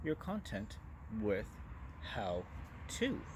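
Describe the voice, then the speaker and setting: A man with vocal fry speaks at a fairly slow pace. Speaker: business marketing talk show host. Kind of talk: monologue presentation to camera. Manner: loud and direct.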